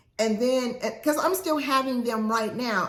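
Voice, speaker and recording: In a room with audible echo, a woman talks in an animated tone with ordinary pitch variation. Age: 60s. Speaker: lifestyle vlogger. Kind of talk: casual talk to camera.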